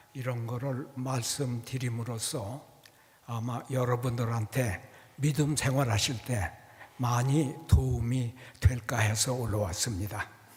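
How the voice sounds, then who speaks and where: Somewhat breathy and medium in pitch, a man talks at a very slow pace with fairly even intonation as room echo is audible. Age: 80s+. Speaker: church elder. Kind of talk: testimony talk to congregation. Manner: halting.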